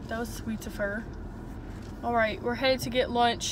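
A woman speaks at a fairly high pitch with fairly even intonation over clear background noise.

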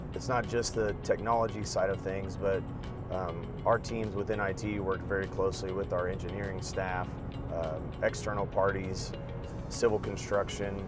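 A man talks at a moderate pace in a dry sound with no echo, with clear music in the background. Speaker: guest. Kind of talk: interview answer. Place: car. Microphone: lapel.

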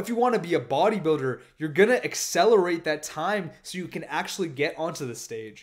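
A man's high-pitched, animated voice with lively intonation at a fairly quick pace over a quiet background. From Indian heritage. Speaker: fitness youtuber. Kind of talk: casual monologue. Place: home room. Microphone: studio mic.

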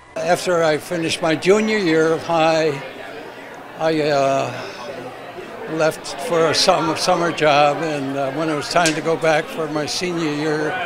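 Over crowd noise in the background, a man with an American accent speaks at a fairly slow pace, his fairly high pitch held in fairly even intonation. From Rochester, New York. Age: 80s+. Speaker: World War Two veteran. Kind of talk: interview answer.

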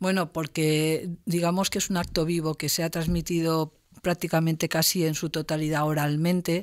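Against a quiet background, a woman speaks at a moderate pace in a fairly low voice, with monotone, flat intonation and very even loudness. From Spain, Castellón (Valencian Community). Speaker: university professor. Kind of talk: interview. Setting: university studio. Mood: calm, explanatory. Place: studio. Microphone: studio mic.

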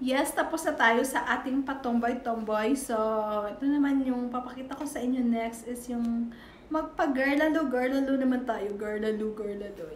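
A woman with a high pitch speaks at a fairly slow pace with ordinary pitch variation. There is audible room echo and light background noise. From Visayas, Philippines. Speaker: YouTuber; vlogger. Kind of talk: casual vlog show-and-tell; casual vlog chat. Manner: halting, many fillers. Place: home room. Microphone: phone near.

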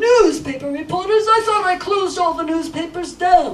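Here a man does a cartoonish character voice at an extremely high pitch. He keeps a moderate pace. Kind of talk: live children's puppet show.

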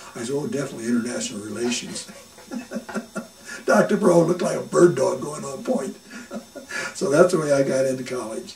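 A man's fairly high voice, fairly quick, with very wide pitch swings. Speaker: oral history interviewee. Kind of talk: oral history interview answer. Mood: warm, amused, smiling. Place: home room.

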